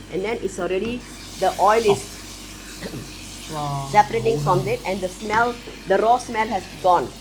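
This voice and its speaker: Over noticeable background noise, a woman talks at a moderate pace with long, frequent pauses. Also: medium pitch for a woman, ordinary pitch variation. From Malaysia. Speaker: home cook. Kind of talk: cooking show explanation. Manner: casual.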